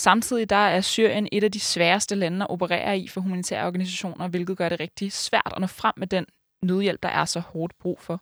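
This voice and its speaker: Recorded very cleanly against a silent background, with a dry, close sound and no echo, a woman speaks in a normal speaking voice at medium pitch, a moderate pace and fairly even intonation. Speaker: student podcast host. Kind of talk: interview and scripted narration.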